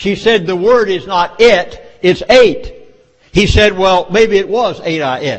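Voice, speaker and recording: In a Southern US accent, a man speaks at a fairly slow pace with a high pitch and ordinary pitch variation. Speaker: speaker. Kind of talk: speech. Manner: folksy storytelling.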